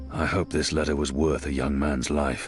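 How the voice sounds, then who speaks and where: A raspy, put-on character voice from a man at a moderate pace, with clear music in the background. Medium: machinima. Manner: measured, grave.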